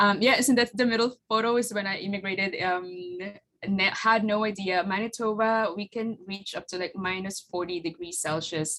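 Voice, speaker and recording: Speaking at a moderate pace, a woman with a Filipino accent has a medium pitch and ordinary pitch variation. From Philippines. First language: Tagalog. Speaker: flower farmer and business owner. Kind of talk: presentation with slides. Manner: halting, many fillers.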